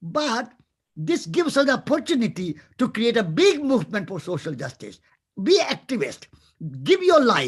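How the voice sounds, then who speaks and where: A man speaks at an extremely high pitch, his voice swinging very widely. The pace is moderate, and the background is quiet. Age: 80s. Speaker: peace activist and former monk. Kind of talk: interview answer.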